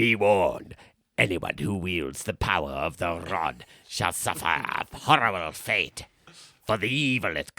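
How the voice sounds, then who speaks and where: In a put-on character voice, a man speaks fairly slowly at a very deep, low pitch. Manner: ominous warning.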